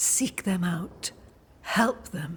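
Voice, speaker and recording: A put-on character voice, female-sounding, at a medium pitch for a woman. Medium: video game. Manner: cryptic, measured.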